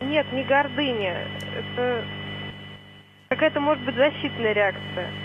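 Noticeable background noise behind a female speaker. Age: young. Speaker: caller. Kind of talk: phone-in call. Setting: phone call.

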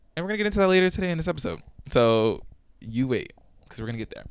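A man's very fast speech with lively intonation. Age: 20s. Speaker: podcaster. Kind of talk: casual solo podcast monologue. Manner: fast talker, rambling; filler-heavy, chatty, self-conscious.

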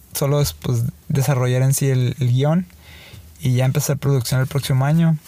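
A man with a Mexican accent, fairly high in pitch, somewhat breathy, with a dark, mellow tone and a fairly quick pace. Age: 30s. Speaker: filmmaker. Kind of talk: casual chat. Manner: halting.

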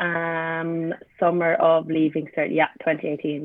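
A woman with an Irish accent speaks at a moderate pace in a fairly low voice. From Ireland, Limerick. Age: 20s. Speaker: sprinter and university student. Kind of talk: casual interview.

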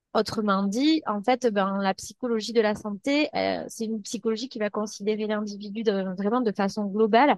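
An unremarkable speaking voice from a woman, fairly high in pitch with fairly even intonation, at a moderate pace in a dry, close sound with no echo. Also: hardly any pauses. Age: 30s. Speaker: psychologist. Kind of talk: interview.

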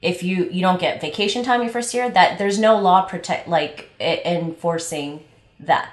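A woman talks at a medium pitch with an American accent, at a moderate pace. Her pitch varies in an ordinary way, and the room echo is audible. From Los Angeles. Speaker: travel podcast co-host, event manager. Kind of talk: casual chat.

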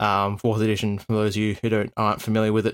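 The recording is very clean with a silent background, carrying a man who speaks with an Australian accent. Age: 20s. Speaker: podcast host and game master. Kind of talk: casual chat.

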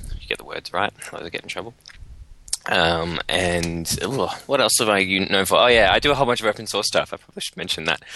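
With an Australian accent, a man speaks at a fairly low pitch in a dry, close sound with no echo. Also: ordinary pitch variation, fairly quick pace, big swings in loudness. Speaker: software developer podcast co-host. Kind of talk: casual chat.

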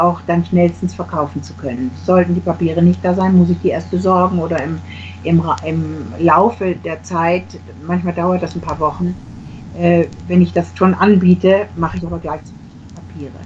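The speaker is a woman at a moderate pace. Background noise is noticeable. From Germany. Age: middle-aged. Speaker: real estate agent. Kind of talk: casual interview.

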